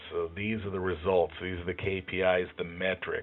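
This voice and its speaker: A man's very deep, low voice at a moderate pace. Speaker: job interview tips presenter. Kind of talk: tutorial. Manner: monotone; hesitant, many fillers.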